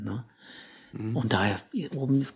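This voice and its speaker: The speaker is a man. His pitch is medium. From Czechoslovakia, south of the Krkonoše mountains. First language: Czech (speaking German). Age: 50s. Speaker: rock climber. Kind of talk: interview. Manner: halting, many fillers and repetitions.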